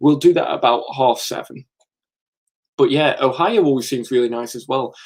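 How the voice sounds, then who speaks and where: With an English accent, a man speaks at medium pitch and a moderate pace. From England. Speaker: comics YouTuber. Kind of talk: live stream chat. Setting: live stream from comic room. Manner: casual, chatty with fillers.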